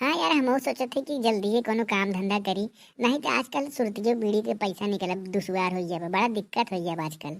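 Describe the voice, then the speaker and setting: In a cartoonish character voice, a woman talks at a fairly quick pace with lively intonation, a medium pitch and hardly any pauses, on a very clean recording with a silent background. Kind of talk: rustic comedy. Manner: grumbling, folksy.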